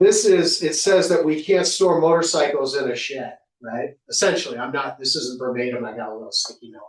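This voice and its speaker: A man talks at a fairly quick pace with hardly any pauses. His pitch is fairly high, his intonation lively, and his loudness swings widely. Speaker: public commenter at town board meeting. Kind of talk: public comment. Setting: town board meeting. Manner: fast.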